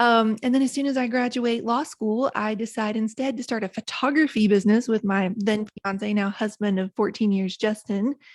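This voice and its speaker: In an Appalachian accent, the speaker keeps a moderate pace and fairly even intonation with hardly any pauses, on a very clean, dry, close recording with no echo and a silent background. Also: woman, fairly high pitch for a woman. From West Virginia, Appalachia. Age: 40s. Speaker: author and podcast host. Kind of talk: interview conversation.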